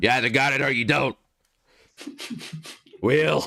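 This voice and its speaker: A man speaks at a moderate pace in a put-on character voice, his medium pitch held to fairly even intonation. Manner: brash, confident, impression.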